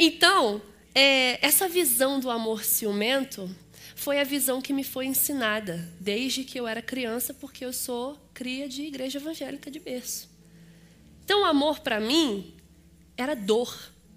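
A woman with a Rio de Janeiro accent speaks at a fairly slow pace in a high, bright, sharp voice, with lively intonation and big swings in loudness. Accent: Rio de Janeiro (carioca). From Rio de Janeiro, Brazil. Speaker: guest preacher and teacher. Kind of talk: sermon. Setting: church service.

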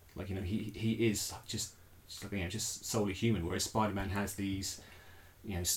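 The speaker is a man with a somewhat breathy voice. He talks at a fairly quick pace with fairly even intonation. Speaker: podcast host. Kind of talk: casual chat.

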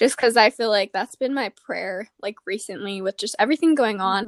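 With an American accent, a woman talks at a fairly quick pace and a fairly high pitch in an ordinary speaking voice, with ordinary pitch variation and a dry, close sound with no echo. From Arizona. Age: 20s. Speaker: podcast host and college student. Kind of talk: casual interview.

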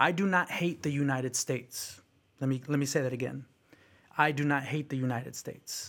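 With a Bay Area accent, a man talks at a fairly quick pace and fairly high pitch. His intonation is fairly even, and the recording is very clean with a silent background. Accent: Bay Area American English. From San Francisco Bay Area, California. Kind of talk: casual conversational storytelling.

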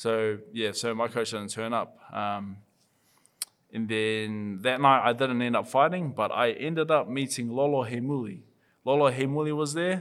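This man has a New Zealand accent and a medium pitch. He talks at a moderate pace with ordinary pitch variation. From New Zealand (Auckland). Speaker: professional boxer. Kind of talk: casual interview chat.

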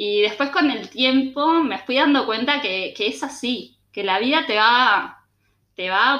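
Her intonation is lively. This woman speaks in a Uruguayan accent. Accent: Uruguayan Spanish (Rioplatense). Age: 20s. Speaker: communications professional and cook. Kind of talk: interview, casual chat.

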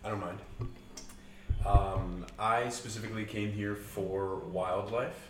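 Speaking in a flat monotone with an American accent, a man leaves long, frequent pauses over noticeable background noise. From United States. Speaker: university student. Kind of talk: casual chat.

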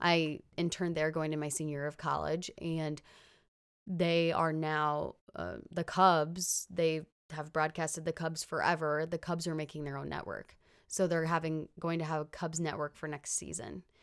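Speaking at a moderate pace with a US Midwestern accent, a woman with a very deep, low pitch keeps a monotone, flat intonation in a very clean recording with a silent background. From US Midwest (Illinois). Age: 20s. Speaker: sports reporter. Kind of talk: interview. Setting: studio.

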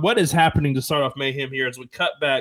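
The pace here is very fast. The speaker is a man. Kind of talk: wrestling show play-by-play narration. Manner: low-energy, hoarse, restrained from being ill.

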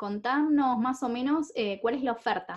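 A woman speaks at a fairly slow pace in a high voice with lively intonation over a quiet background. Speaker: podcast host and coach. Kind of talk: scripted introduction; interview.

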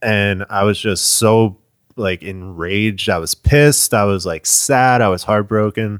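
A man with a plain, everyday voice and an American accent talks at a fairly slow pace in a fairly low pitch with ordinary pitch variation, the sound dry and close with no echo. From northern New Jersey. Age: 30s. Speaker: drummer. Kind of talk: casual chat. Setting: parents' house.

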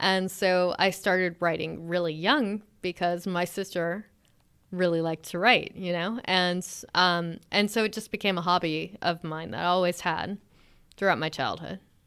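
At a moderate pace, a woman speaks in a plain, everyday voice with a fairly low pitch and fairly even intonation, in a very clean recording with a silent background. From US South (Alabama), mostly grew up in California. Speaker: science fiction author. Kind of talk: interview.

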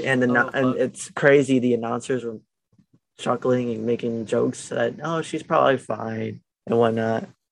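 Using a normal speaking voice of medium pitch, a man talks at a moderate pace with fairly even intonation. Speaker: podcast co-host. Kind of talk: casual chat. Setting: video call.

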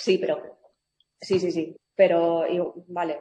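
The speaker is a woman with a fairly low pitch. Her tone is dark and mellow. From Madrid, Spain. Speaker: journalist. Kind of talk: interview.

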